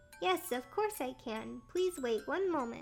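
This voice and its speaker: A woman's high, put-on character voice with very wide pitch swings at a moderate pace, clear music in the background. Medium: virtual streamer. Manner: polite, formal phrasing.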